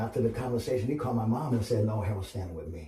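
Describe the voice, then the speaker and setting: A man speaks at a medium pitch with ordinary pitch variation, in an American accent. Noticeable background noise runs underneath. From Los Angeles, California (Compton). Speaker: podcast guest. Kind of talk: casual chat, life story.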